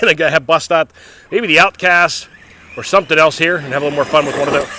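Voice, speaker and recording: A man with a fairly high pitch and fairly even intonation speaks at a very fast pace, noticeable background noise behind him. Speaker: RC car hobbyist vlogger. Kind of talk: casual outdoor commentary.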